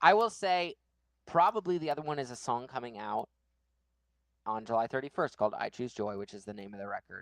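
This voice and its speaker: A loud man at medium pitch talks at a fairly quick pace with very wide pitch swings. He leaves long, frequent pauses, and the sound is dry and close with no echo. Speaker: band member, songwriter and guitarist. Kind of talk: casual chat. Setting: live stream. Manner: talkative.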